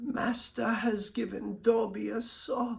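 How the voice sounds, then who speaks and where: A fairly high, fairly slow put-on character voice. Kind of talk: third-person speech.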